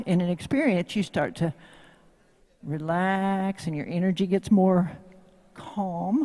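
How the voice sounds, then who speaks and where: The speaker talks at a fairly slow pace in a Tennessee accent. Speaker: horsemanship instructor. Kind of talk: live demo talk to audience. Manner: animated.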